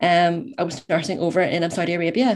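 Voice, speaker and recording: In a very clean recording with a silent background, a woman with a Northern Irish accent speaks at a fairly low pitch with fairly even intonation. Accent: Northern Irish (Belfast). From Northern Ireland, Belfast. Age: 20s. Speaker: university student. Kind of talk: interview, personal story.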